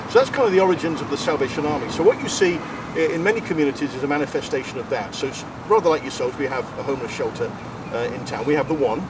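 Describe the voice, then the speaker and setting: With an English accent, a man talks at a very fast pace and a fairly high pitch, his intonation lively, over noticeable background noise. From England, Coventry. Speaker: Salvation Army minister. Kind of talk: casual interview.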